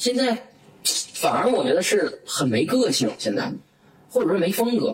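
Against noticeable background noise, a man with a Northeastern Chinese accent speaks in an animated tone with lively intonation. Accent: Northeastern Mandarin. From Northeast China. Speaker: entrepreneur. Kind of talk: interview. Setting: office. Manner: fast.

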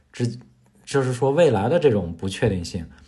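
Speaking at a moderate pace, a man has a somewhat breathy voice with a dark, mellow tone. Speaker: podcast co-host. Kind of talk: casual chat.

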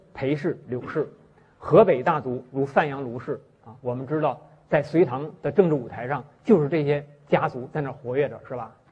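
This man's somewhat breathy voice sits fairly high in pitch, with ordinary pitch variation, big swings in loudness and a moderate pace. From Northeast China, Shenyang. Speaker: history professor. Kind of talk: university lecture. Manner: frequent filler sounds, hesitant.

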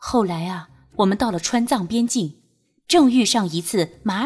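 Someone is reading aloud in a natural voice against a quiet background.

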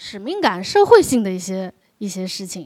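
A woman talks at a moderate pace with very wide pitch swings. The recording is very clean with a silent background. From China, Wenzhou. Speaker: documentary director. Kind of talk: live onstage conversation.

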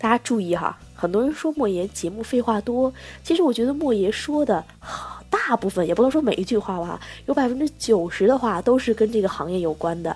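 A woman talks at a fairly quick pace in a fairly high pitch. Her tone is animated and her intonation lively. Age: 20s. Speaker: podcast host on e-commerce. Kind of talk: casual solo podcast talk. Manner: animated, chatty with frequent laughs.

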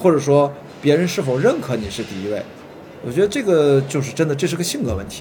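With noticeable background noise and audible room echo, a man speaks at a very fast pace with fairly high pitch and lively intonation. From Qingdao, China. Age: 40s. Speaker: film producer. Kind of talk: casual chat. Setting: hotel tea room.

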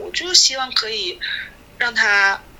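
A woman speaks with very wide pitch swings against noticeable background noise. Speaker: children's English teacher. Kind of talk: casual chat.

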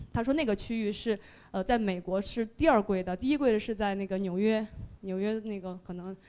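The recording is very clean, with a silent background. A woman speaks at a medium pitch in a dark, mellow tone, with ordinary pitch variation. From Sichuan. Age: 30s. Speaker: listener sharing at a fan meetup. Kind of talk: presentation to live audience. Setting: stage with audience.

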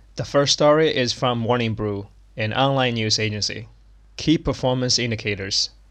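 A man with a Chinese accent talks at a moderate pace with ordinary pitch variation. The background is quiet. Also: medium pitch for a man. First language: Mandarin Chinese. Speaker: podcast host teaching English through news. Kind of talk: bilingual lesson explanation; news reading.

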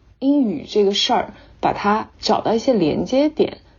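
With lively intonation and a somewhat breathy quality, a woman talks fairly slowly in a fairly high voice. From China. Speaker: English-teaching social media creator and former actress. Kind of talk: interview.

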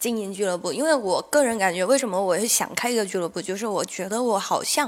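At a fairly quick pace, a woman talks in a plain, everyday voice with a fairly high pitch. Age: 30s. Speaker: stand-up comedian and comedy club owner. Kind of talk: casual chat.

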